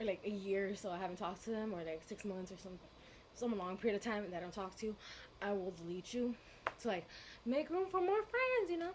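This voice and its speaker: Bubbly and animated, a woman talks fairly quickly over noticeable background noise. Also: medium pitch for a woman, ordinary pitch variation. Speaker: vlogger. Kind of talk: storytime vlog. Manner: loud, bubbly.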